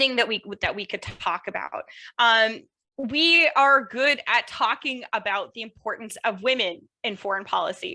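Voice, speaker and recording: A woman's fairly high voice, bright and sharp in tone, with lively intonation at a moderate pace. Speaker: political science professor, panelist. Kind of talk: academic panel discussion.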